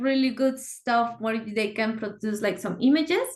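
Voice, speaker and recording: A woman with a Spanish accent, fairly high in pitch, with ordinary pitch variation and a moderate pace. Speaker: software engineer. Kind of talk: casual chat.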